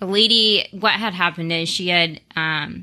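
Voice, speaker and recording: A woman with an American accent, a bright, sharp tone, a fairly low pitch and ordinary pitch variation. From US West, Las Vegas. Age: 20s. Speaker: millennial professional. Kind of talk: casual interview.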